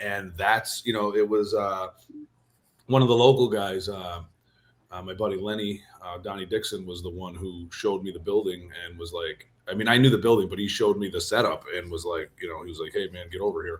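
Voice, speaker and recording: A man with an American accent, fairly quick pace, big swings in loudness, fairly even intonation and a somewhat breathy sound. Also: fairly low pitch for a man. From Long Island, New York. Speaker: pro wrestler. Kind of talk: casual chat.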